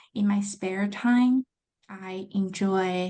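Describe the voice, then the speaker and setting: A woman with a Chinese accent speaks at a medium pitch. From China. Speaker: accounting graduate student. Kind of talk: interview.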